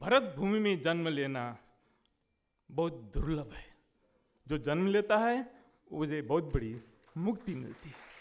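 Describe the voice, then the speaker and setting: Speaking with a Nepali accent, a man uses a fairly high pitch with very wide swings. His loudness swings widely, and his pauses are long and frequent. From India, West Bengal (Jalpaiguri district). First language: Nepali (speaking Hindi). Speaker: conference speaker on literature. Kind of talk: conference speech.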